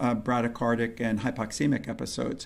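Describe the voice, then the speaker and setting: The voice carries vocal fry at a fairly quick pace. Audible room echo surrounds it. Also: man. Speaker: pediatrician and lecturer. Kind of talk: lecture. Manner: fast.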